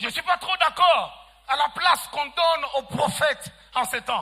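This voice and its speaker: A man speaks in an extremely high voice. His tone is bright and sharp. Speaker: pastor. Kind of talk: sermon. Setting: church. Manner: soft-spoken.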